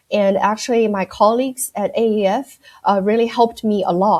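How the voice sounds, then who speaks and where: A woman with a slight Chinese accent speaks at a moderate pace in a medium-pitched, dark, mellow voice with monotone, flat intonation. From China, Shanghai. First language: Mandarin Chinese. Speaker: accounting firm audit director. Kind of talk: podcast interview. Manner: hesitant, many fillers.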